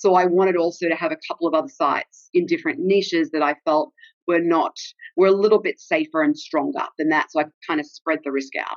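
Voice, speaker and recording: An Australian accent comes through as a woman speaks very fast at a fairly low pitch with ordinary pitch variation. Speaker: travel blogger. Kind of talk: casual interview chat.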